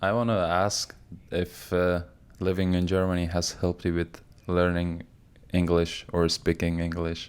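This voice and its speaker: In a non-native accent, a man with a very deep, low pitch speaks at a fairly slow pace in a monotone, flat intonation and very even loudness, recorded very cleanly against a silent background. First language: not English. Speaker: podcast host. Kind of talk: casual chat.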